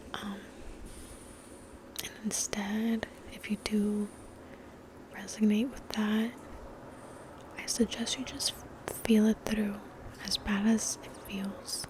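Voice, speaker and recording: Whispering very slowly with long, frequent pauses, a woman swings widely in loudness against noticeable background noise. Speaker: ASMR creator. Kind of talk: ASMR ramble. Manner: soft-spoken.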